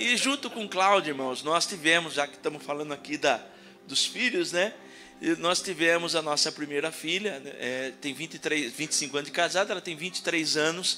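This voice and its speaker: Over music in the background, a man speaks at a moderate pace in a high voice. His tone is animated, with ordinary pitch variation. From Piracicaba, São Paulo state interior, Brazil. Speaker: pastor. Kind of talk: sermon. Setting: church. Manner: animated, humorous delivery.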